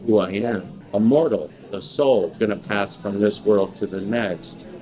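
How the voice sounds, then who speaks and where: Over music in the background, a man speaks at a moderate pace with a fairly low pitch. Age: 60s. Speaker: preacher. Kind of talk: sermon.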